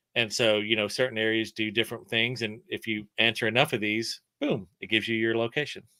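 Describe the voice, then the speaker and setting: In a slight Southern US accent, a man talks at a fairly quick pace with hardly any pauses, using monotone, flat intonation in a bright, sharp tone with a dry, close sound with no echo. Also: medium pitch for a man. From Alabama, between Mobile and Birmingham. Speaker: creator and storyteller. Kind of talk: casual chat.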